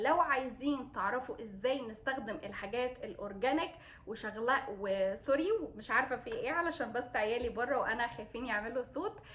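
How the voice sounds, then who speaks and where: Speaking with an Egyptian accent, a woman has a high pitch. She keeps a moderate pace. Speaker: beauty vlogger, mother. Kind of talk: product review vlog. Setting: at home, kids nearby. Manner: hesitant, many fillers.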